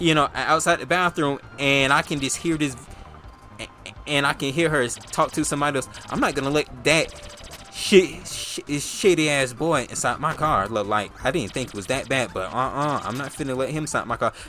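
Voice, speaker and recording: Over music in the background, a man speaks at a moderate pace with fairly high pitch and ordinary pitch variation. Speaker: gaming youtuber. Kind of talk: storytelling while playing a game. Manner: casual, halting.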